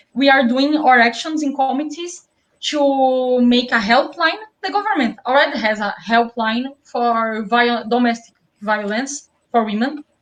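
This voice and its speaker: The delivery is at a fairly slow pace, with ordinary pitch variation. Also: woman, high pitch for a woman. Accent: Brazilian Portuguese. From South Brazil. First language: Portuguese. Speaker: left-wing activist teacher. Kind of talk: interview. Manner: deliberately slowed down; halting. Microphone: poor sound.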